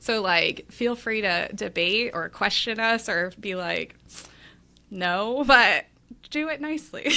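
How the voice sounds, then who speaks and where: A woman speaks at a medium pitch in a bright, sharp tone with vocal fry. The recording is very clean, with a silent background. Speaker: tennis gear play-tester and content creator. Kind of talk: casual chat. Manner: scattered, all over the place.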